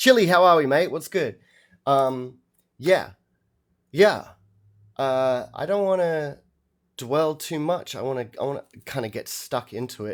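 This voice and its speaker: Lively in intonation, a man speaks at a fairly slow pace in a fairly high pitch, with long, frequent pauses. His loudness swings widely on a very clean recording with a silent background. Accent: Australian. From Australia, Melbourne. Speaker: musician reacting to albums on livestream. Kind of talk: casual livestream chat. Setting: live stream. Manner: casual, hesitant with many fillers.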